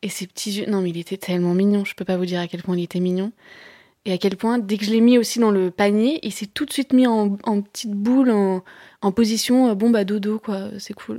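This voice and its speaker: On a very clean recording with a silent background and a dry, close sound with no echo, a woman with a dark, mellow tone and medium pitch talks at a fairly quick pace with fairly even intonation. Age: 30s. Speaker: novelist. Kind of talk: personal testimony. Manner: halting.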